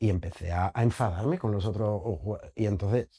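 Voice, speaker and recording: This man speaks at a medium pitch and a moderate pace with ordinary pitch variation. The recording is very clean, with a silent background. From Germany. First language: German (speaking Spanish). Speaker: actor and theatre director. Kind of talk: interview. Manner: halting.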